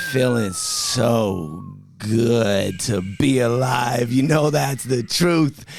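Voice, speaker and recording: Noticeable background noise sits behind a man who speaks at a very slow pace with lively intonation and very even loudness. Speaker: podcast host. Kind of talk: podcast intro. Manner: high energy, upbeat.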